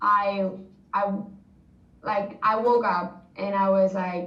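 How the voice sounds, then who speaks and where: Noticeable background noise surrounds a woman speaking with a Spanish accent. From Spain. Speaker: former exchange student. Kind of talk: interview answer. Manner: casual, chatty.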